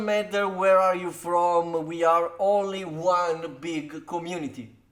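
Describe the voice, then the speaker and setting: A man speaks with an Italian accent at a high pitch. His pace is very slow. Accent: non-native, Italian. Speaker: card game content creator. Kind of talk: deck tech tutorial. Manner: halting, many fillers.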